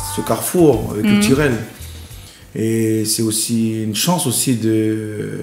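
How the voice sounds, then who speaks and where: Music plays in the background as a man speaks at a very slow pace. His pitch is medium, with ordinary variation. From New Caledonia. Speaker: painter and singer. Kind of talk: interview answer.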